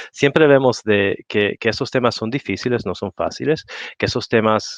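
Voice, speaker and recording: With a non-native accent, a man talks at a fairly quick pace and keeps his intonation fairly even. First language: not Spanish (speaking Spanish). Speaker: industry association representative. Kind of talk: panel discussion. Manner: halting.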